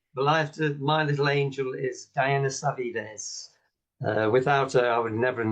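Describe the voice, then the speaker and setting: At a moderate pace, a somewhat breathy man speaks in a medium pitch with ordinary pitch variation. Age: 70s. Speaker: company director and product user. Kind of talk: testimony.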